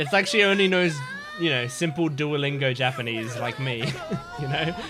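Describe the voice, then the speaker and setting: Noticeable background noise runs behind a man with an Australian accent, who speaks at a moderate pace and a fairly high pitch with ordinary pitch variation. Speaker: anime reactor. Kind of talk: reaction commentary. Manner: excited.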